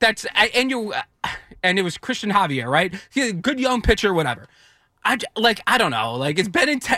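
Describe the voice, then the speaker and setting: Raised and projected, a man's bright, sharp, high-pitched voice moves at a fairly quick pace with very wide pitch swings. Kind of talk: casual chat.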